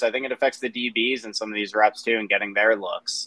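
A man talks at a fairly quick pace in a normal speaking voice, medium in pitch with fairly even intonation and a dry, close sound free of echo. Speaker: sports TV host. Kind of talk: casual podcast interview.

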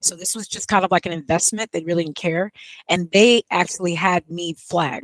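This woman talks at a fairly quick pace in an ordinary speaking voice. Her pitch sits fairly low, with ordinary variation. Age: 50s. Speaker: YouTube host and homeschooling mother. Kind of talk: casual interview.

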